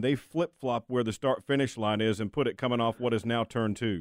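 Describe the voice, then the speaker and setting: At a fairly quick pace, a man talks in a plain, everyday voice. His pitch is medium, with ordinary pitch variation. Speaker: news reporter and interviewer. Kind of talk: news report and interview questions.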